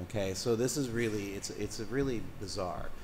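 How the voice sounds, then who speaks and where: A man speaking at a moderate pace, with audible room echo. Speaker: coastal commission member. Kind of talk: public hearing remarks. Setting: public hearing room. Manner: loud; halting, many restarts.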